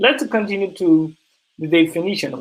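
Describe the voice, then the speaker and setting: A man talks at a moderate pace in a high voice. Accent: American. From Ivory Coast, West Africa. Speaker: diversity consultant and founder. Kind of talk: online presentation. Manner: halting, many fillers.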